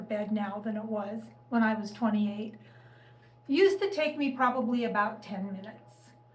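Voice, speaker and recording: A woman speaks at a fairly quick pace with lively intonation in a plain, everyday voice. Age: 60s. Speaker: lifestyle vlogger. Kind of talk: casual talk to camera.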